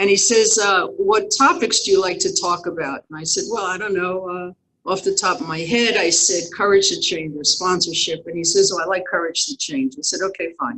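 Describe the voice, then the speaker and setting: Speaking at a moderate pace, a woman has an American accent. Hers is an unremarkable speaking voice. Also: medium pitch for a woman, ordinary pitch variation, hardly any pauses. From New York. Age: 60s. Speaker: recovery speaker. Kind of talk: testimony.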